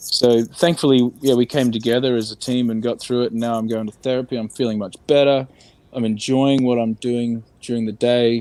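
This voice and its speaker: With an Australian accent, a man talks at a medium pitch. His tone is dark and mellow, his intonation monotone and flat. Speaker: entertainment industry worker. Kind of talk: candid interview about mental health. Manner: slow.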